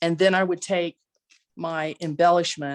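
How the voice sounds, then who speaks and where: A dry, close recording with no echo carries fairly slow speech in a flat, monotone delivery. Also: woman. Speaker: crafting class presenter. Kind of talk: craft tutorial on video call. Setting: video call.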